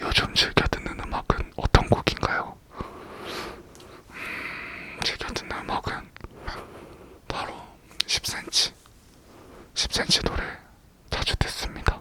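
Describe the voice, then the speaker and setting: Whispering at a very slow pace, with long, frequent pauses and noticeable background noise. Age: 20s. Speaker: ASMR YouTuber. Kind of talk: ASMR Q&A talk. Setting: seated indoor recording. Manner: soft-spoken; slightly slurred pronunciation.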